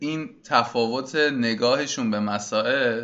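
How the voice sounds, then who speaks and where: Fairly even intonation and medium pitch in a man's plain, everyday voice. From Iran. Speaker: podcast host. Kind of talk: solo podcast introduction.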